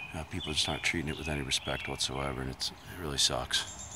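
A man talks very fast in a monotone, flat intonation over noticeable background noise. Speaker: hiker vlogger. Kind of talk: casual vlog chat. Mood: annoyed about trash and crowds. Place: forest. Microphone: phone near.

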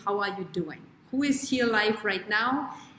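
A woman's voice with audible room echo and light background noise. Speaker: show host, wellness coach. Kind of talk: live stream host chat. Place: home room. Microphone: webcam.

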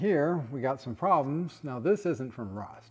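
A man speaks at a fairly slow pace. His pitch shows ordinary variation. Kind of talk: tutorial commentary. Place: workshop. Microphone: phone near.

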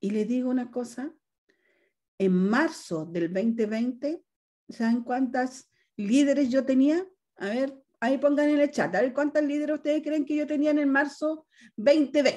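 A woman speaks at a fairly slow pace with a high pitch, ordinary pitch variation and a dark, mellow tone. The background is quiet. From northern Chile. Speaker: direct sales leader. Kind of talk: testimony. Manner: animated. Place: home room. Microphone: video call.

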